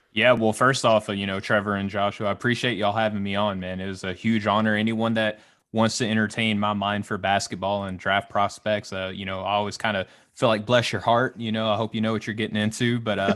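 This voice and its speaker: Over a quiet background, a man in a Southern US accent talks very fast, his fairly low voice flat and monotone. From Arkansas, US South. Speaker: basketball draft analyst and Navy member. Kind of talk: casual podcast interview.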